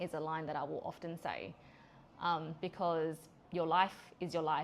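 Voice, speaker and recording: This woman has an Australian accent and a very deep, low pitch. She talks at a moderate pace. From Australia (Adelaide). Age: 40s. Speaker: podcast host and business owner. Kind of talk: personal monologue podcast. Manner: frequent fillers (um); direct.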